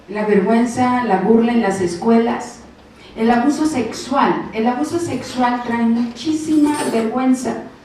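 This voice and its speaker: The speech moves at a very slow pace with ordinary pitch variation. Audible room echo and noticeable background noise surround it. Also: woman. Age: 60s. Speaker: preacher. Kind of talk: sermon.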